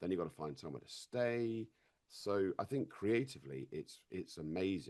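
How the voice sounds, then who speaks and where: Very deep and low in pitch, a man talks at a moderate pace with very wide pitch swings. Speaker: actor. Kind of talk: interview. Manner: halting, with frequent repetitions.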